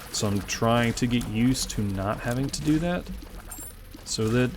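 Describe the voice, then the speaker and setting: In an American accent, the speaker uses ordinary pitch variation at a moderate pace, with noticeable background noise. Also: man. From US South, Memphis, Tennessee. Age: 20s. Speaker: gaming YouTuber. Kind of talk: gameplay commentary. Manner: frequent filler uh, unscripted.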